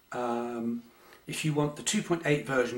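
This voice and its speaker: At a moderate pace, a man with an English accent speaks at medium pitch with ordinary pitch variation. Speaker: amateur photography youtuber. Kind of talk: casual chat. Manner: hesitant, many fillers.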